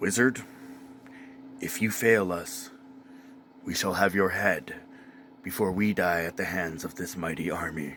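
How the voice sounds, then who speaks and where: Over clear background noise, a raspy, put-on character voice moves at a moderate pace with long, frequent pauses. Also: man, very deep, low pitch for a man. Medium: solo performance. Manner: urgent.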